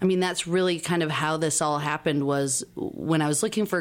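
A woman speaks with a very deep, low pitch. Her intonation is fairly even. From Wisconsin. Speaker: shared kitchen founder. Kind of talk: casual interview.

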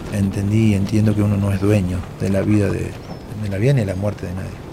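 A man talks with a fairly low pitch. Noticeable background noise is present. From Argentina, Córdoba province. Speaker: war veteran. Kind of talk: interview testimony.

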